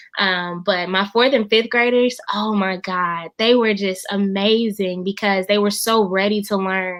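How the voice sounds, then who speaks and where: Delivered at a fairly slow pace with hardly any pauses, this voice carries a slight Southern US accent and fairly even intonation. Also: woman, medium pitch for a woman. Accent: slight Southern twang. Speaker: funeral director and music teacher. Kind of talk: interview conversation. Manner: hesitant, many fillers.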